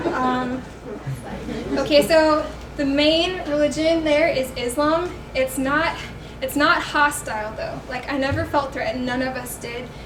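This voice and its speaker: Loud and fairly slow with fairly even intonation, the voice comes through noticeable background noise and audible room echo. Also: woman, high pitch for a woman. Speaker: student missionary presenter. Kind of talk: presentation.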